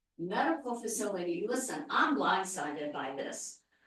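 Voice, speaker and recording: A woman's voice swings very widely in pitch, with audible echo from the room. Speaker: public commenter at town meeting. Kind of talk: public comment at planning meeting. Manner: animated.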